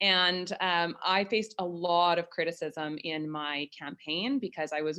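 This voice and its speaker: With a Canadian accent and an unremarkable speaking voice, a woman talks at a moderate pace and a fairly low pitch, with ordinary pitch variation. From Port Alberni, British Columbia, Canada. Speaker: mayor. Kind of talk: panel discussion.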